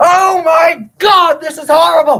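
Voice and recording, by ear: Shouting in a put-on character voice, a woman talks at a fairly slow pace with an extremely high pitch, a fairly bright tone and fairly even intonation.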